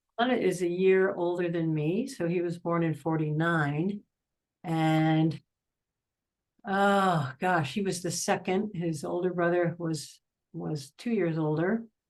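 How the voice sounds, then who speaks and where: A woman with an American accent speaks at a very slow pace over a quiet background. Her fairly low pitch shows ordinary variation. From US Northeast, Philadelphia suburbs. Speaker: interviewee. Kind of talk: interview. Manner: casual, conversational.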